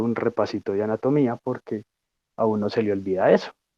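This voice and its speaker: At a fairly quick pace, this is an ordinary speaking voice. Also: man. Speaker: student lecturer on physiology. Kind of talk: lecture.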